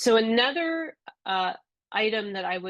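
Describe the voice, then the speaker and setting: A fairly slow woman's voice of medium pitch, an ordinary speaking voice, over a quiet background. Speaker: software trainer. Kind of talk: webinar tutorial.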